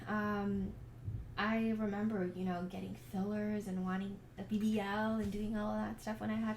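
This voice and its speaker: A woman's medium-pitched, monotone, flat voice, with audible room echo and noticeable background noise. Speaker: faith lifestyle vlogger. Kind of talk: casual vlog monologue. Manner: hesitant, many fillers.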